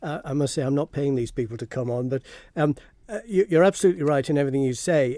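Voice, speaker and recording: A man with a Manx accent, a fairly high pitch, a dark, mellow tone, ordinary pitch variation and a very fast pace, in a dry, close sound with no echo. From Isle of Man. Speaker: heritage campaigner and filmmaker. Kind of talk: radio phone-in interview.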